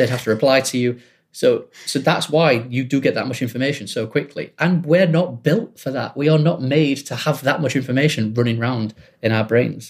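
A man talks rather quickly in a somewhat breathy voice. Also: medium pitch for a man, ordinary pitch variation. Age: 30s. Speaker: music publishing executive. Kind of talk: casual interview.

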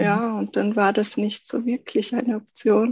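A woman's fairly high-pitched, ordinary speaking voice, moderately paced, with ordinary pitch variation. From South Tyrol, Italy. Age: 30s. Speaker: goldsmith. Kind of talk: podcast interview.

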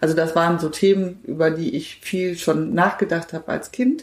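Noticeable background noise runs under a woman speaking at a moderate pace, her fairly low voice holding fairly even intonation. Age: 50s. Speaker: politician. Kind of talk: interview.

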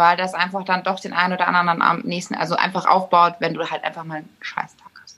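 A woman talks at a very fast pace in a fairly low pitch. Her intonation is flat and monotone while her loudness swings widely. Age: young. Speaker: innkeeper.

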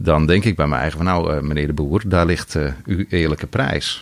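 Speaking at a fairly quick pace, a man with a very deep, low voice and vocal fry keeps his intonation fairly even. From Netherlands, rural North Holland. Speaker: wholesale business founder. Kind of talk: interview. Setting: studio. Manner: hesitant with many filler sounds.

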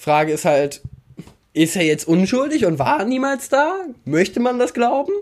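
A man's extremely high voice with very wide pitch swings, a fairly slow pace, and long, frequent pauses. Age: 20s. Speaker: fashion commentator. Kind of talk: casual chat.

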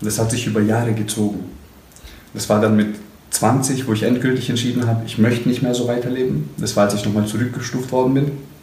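With audible room echo and noticeable background noise, a man speaks at a very fast pace in a medium pitch. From Stuttgart, southwestern Germany. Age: 20s. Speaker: motivational coach. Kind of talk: casual interview. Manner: animated.

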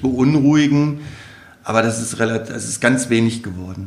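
A man with ordinary pitch variation talks at a moderate pace, his voice carrying audible room echo over noticeable background noise. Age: 40s. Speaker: primary school headteacher. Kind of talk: casual interview.

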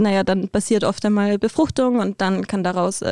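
The voice has a dark, mellow tone and fairly even intonation at a moderate pace. The background is quiet, and the sound is dry and close with no echo. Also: woman. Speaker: interview guest. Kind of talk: casual interview.

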